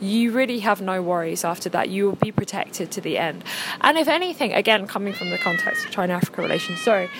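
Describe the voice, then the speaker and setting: Noticeable background noise sits behind a woman with an English accent speaking at a very fast pace. Her pitch is medium and her intonation lively. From England. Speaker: podcast guest. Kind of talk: casual chat.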